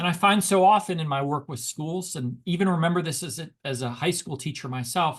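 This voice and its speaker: Against a quiet background, a man with a normal speaking voice talks at a fairly quick pace with hardly any pauses, his fairly high pitch showing ordinary variation. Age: 50s. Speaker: education researcher and speaker, former high school teacher. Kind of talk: webinar lecture. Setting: online webinar. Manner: conversational with frequent fillers and repetitions.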